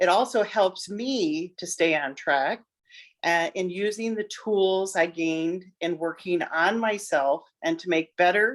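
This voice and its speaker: A woman with an ordinary speaking voice talks at a fairly slow pace with lively intonation. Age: 60s. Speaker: parent of son with addiction. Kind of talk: testimony interview.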